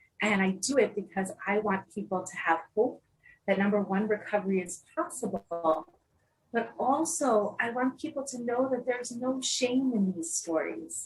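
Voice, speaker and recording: Her New Jersey accent clear, a woman talks at a moderate pace in a fairly high-pitched voice with lively intonation. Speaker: mental health peer specialist and trainer. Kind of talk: interview.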